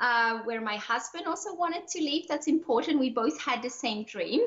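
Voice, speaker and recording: A high-pitched woman's voice with lively intonation at a moderate pace. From Switzerland. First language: French or Swiss German. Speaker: online entrepreneur, lifestyle coach. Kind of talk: podcast interview. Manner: animated.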